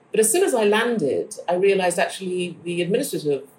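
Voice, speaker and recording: Noticeable background noise is present. A woman speaks at a fairly quick pace. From Ghana. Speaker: architect, academic and novelist. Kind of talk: interview.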